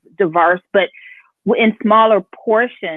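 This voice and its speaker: A woman at a moderate pace, with a normal speaking voice and ordinary pitch variation. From Houston, Texas. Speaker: chef. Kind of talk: interview conversation.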